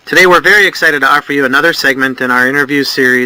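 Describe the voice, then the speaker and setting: A man's fairly high voice at a very fast pace, with ordinary pitch variation, a dry, close sound with no echo, and noticeable background noise. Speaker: interviewer. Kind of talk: interview questions.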